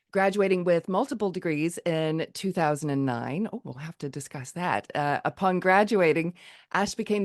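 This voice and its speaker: A woman with an American accent speaks at a fairly low pitch and a moderate pace. The sound is dry and close with no echo, against a quiet background. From United States. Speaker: podcast host. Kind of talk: podcast interview; reading a guest bio.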